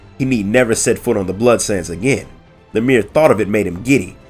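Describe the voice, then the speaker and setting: Music plays in the background as a man of medium pitch speaks at a fairly quick pace. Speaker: lore narrator. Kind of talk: audiobook story reading. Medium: read story.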